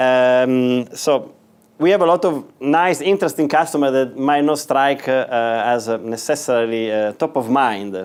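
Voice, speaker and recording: A man with an Italian accent, medium pitch, ordinary pitch variation, very even loudness and a moderate pace. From northern Italy. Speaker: business executive. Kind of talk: guest lecture. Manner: halting, many fillers.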